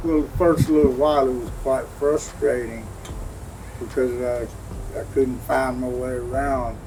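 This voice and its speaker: A man speaks at a fairly slow pace. Noticeable background noise and audible room echo surround his voice. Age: 70s. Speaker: war veteran. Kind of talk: interview. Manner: hesitant, many fillers.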